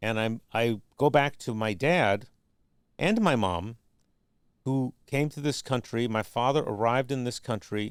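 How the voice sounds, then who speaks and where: A man with an ordinary speaking voice, medium pitch and ordinary pitch variation, at a fairly slow pace on a very clean recording with a silent background. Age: 60s. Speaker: documentary filmmaker and structural engineer. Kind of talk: podcast interview.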